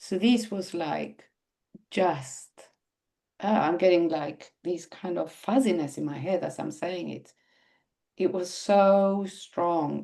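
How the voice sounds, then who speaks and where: A woman with a non-native accent, at a very slow pace. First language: not English. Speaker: website designer. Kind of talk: podcast interview.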